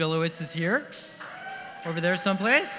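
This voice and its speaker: A man speaks in a raised, projected voice with ordinary pitch variation. Music plays in the background, and there is audible room echo. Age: 70s. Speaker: songwriter celebrating his birthday. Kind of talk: party speech. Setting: stage with audience.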